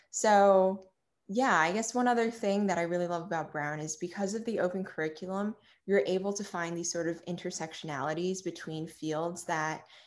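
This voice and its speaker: A woman with an American accent speaks at a moderate pace in a fairly low pitch. Hers is an unremarkable speaking voice, set against a quiet background. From Long Island, New York. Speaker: college student. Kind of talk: casual interview.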